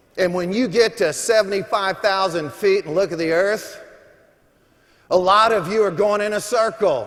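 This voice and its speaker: This man's voice is high in pitch. The pitch moves with ordinary variation. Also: moderate pace. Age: 60s. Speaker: motivational speaker. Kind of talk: motivational speech. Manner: animated.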